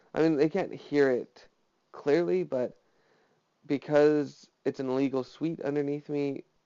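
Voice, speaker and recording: A man talks at a fairly slow pace in a fairly high pitch. His intonation stays fairly even. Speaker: vlogger. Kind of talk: personal monologue vlog. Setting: home, alone. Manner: flat, little inflection; hesitant, many fillers.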